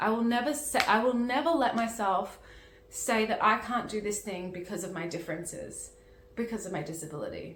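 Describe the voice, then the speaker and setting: Over noticeable background noise and audible room echo, a woman with a fairly high pitch talks at a fairly quick pace with lively intonation. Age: 30s. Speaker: managing director of a peer education channel. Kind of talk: personal testimony. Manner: halting, with frequent restarts.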